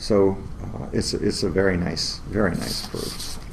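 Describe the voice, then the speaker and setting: Speaking at a very slow pace, a man uses ordinary pitch variation, with audible room echo around his voice. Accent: American. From US South, New Orleans, Louisiana. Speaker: engineering lecturer. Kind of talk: lecture. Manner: halting, many filler words.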